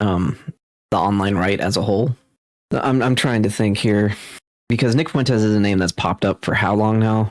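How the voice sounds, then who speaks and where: A man's fairly low voice at a fairly quick pace with ordinary pitch variation, on a very clean recording with a silent background. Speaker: reaction video commentator. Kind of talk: casual chat. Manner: halting.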